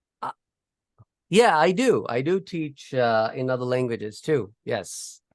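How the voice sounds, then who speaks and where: Against a quiet background, a man speaks at a fairly slow pace in a fairly high pitch, his voice making very wide pitch swings. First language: not English. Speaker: professor. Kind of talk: lecture.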